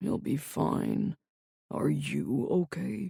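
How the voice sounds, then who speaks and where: The speaker puts on a growling character voice. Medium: read story. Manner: calm, quietly commanding.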